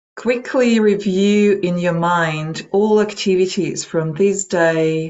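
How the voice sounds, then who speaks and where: Speaking very slowly in a Russian accent, a woman keeps a calm tone and fairly even intonation. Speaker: meditation trainer and psychology practitioner. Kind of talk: webinar talk; guided meditation. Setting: online webinar. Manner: calm, slow guidance.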